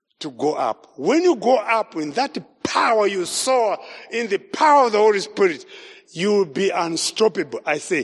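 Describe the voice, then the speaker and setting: A man with a Zimbabwean accent, very wide pitch swings and a fairly slow pace. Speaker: evangelist. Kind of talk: sermon. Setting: church. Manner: animated.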